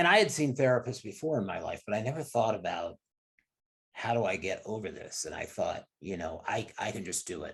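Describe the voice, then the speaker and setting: A man talks fairly quickly at a medium pitch. His voice is somewhat breathy, with lively intonation. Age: 60s. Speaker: fitness industry executive. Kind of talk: interview. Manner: halting.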